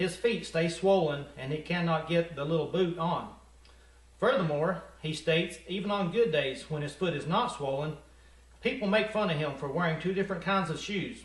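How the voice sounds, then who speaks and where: A high-pitched man with an American accent, moderate in pace, with ordinary pitch variation. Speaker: comedy news anchor. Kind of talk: mock local TV news read.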